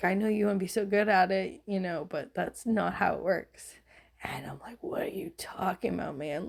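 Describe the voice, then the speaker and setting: A woman speaks at a moderate pace in a medium pitch. Vocal fry runs through her voice. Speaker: tarot reader. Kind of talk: casual reflective monologue. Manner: emotional, conversational.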